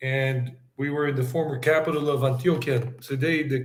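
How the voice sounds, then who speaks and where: This man has a fairly high pitch and a somewhat breathy voice, speaking with an American accent at a moderate pace and with fairly even intonation. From South Carolina and New York, US. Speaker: travel vlogger and English teacher. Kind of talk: casual interview chat.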